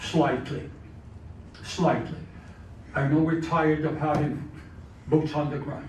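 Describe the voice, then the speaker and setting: The fairly high-pitched voice of a man comes with audible room echo. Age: 90s. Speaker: former senator, guest speaker. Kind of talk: speech with Q&A. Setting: club meeting with audience. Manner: halting.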